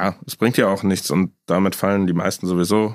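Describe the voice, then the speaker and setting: A man's very deep, low voice at a fairly quick pace, in a very clean recording with a silent background. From Düsseldorf, Germany. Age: 20s. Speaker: insurance broker. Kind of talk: casual chat.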